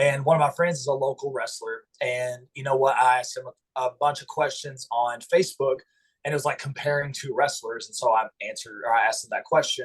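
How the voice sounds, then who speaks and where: A man with a slight Southern US accent speaks at a fairly quick pace. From US South, eastern Kentucky Appalachia. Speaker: pro wrestler and chiropractor. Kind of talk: interview. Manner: hesitant, many fillers.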